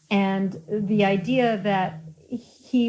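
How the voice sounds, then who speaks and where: This woman's voice sits at a medium pitch and is somewhat breathy. Her intonation is fairly even, on a very clean recording with a silent background. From Colorado. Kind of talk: interview.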